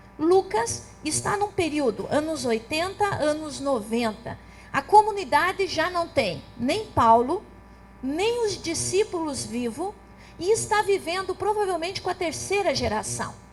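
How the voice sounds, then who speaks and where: Amid noticeable background noise, a woman speaks fairly slowly at an extremely high pitch, with very wide pitch swings. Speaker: theologian. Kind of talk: lecture.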